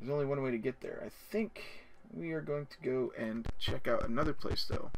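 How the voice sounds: The clip features a natural reading voice.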